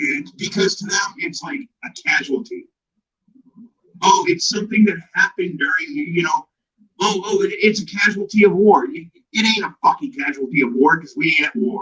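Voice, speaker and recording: With a raised, projected voice and a bright, sharp tone, a man speaks at a high pitch and a moderate pace, using very wide pitch swings and big swings in loudness. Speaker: YouTube commentator. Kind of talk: live-stream rant. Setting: live stream. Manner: animated.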